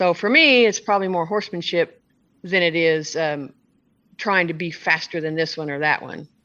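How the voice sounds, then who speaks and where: A woman's fairly low voice, bright and sharp in tone, with ordinary pitch variation, a moderate pace and a quiet background. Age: 60s. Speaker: barrel racer and horse trainer. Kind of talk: interview answer. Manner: casual, conversational.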